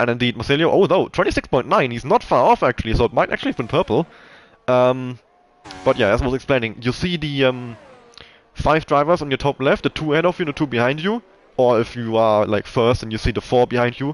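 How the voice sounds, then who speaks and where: Delivered at a very fast pace with a German accent, the voice has a dry, close sound with no echo. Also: man, medium pitch for a man, ordinary pitch variation. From Germany. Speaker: esports race commentator. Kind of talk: live commentary. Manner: hesitant, many fillers.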